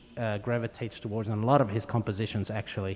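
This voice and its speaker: Monotone and flat in intonation, a man speaks with a South African accent. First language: Afrikaans. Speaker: string quartet musician. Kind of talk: onstage interview. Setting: concert hall with audience.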